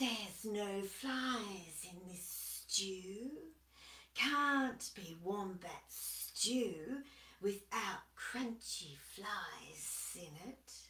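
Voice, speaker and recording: A female-sounding put-on character voice at a medium pitch, hissing and speaking at a very slow pace. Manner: sly, mocking.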